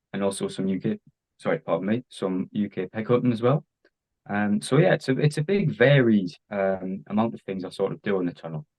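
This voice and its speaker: A man with an English accent, fairly low in pitch, at a moderate pace with ordinary pitch variation. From England. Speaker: diecast collector, YouTuber. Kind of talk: casual interview. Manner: hesitant, many fillers.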